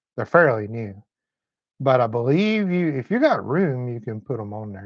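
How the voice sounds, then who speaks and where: Against a quiet background, a man speaks with a Southern US accent in a medium-pitched voice. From Tennessee. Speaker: motorcycle mechanic and channel host. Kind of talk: live stream chat. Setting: motorcycle shop. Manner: slow.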